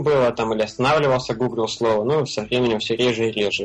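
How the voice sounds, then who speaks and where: Over noticeable background noise, a man speaks very fast at medium pitch with ordinary pitch variation. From Russia, Belgorod. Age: 20s. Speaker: frontend web developer, freelancer. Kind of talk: casual interview. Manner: hesitant, many fillers.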